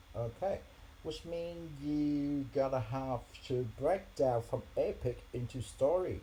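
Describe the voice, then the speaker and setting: Speaking very slowly with a non-native accent, a man uses a fairly high voice that is somewhat breathy and dark and mellow in tone, with ordinary pitch variation. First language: not English. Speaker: software developer vlogger. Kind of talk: screen-share tutorial vlog. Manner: halting with fillers.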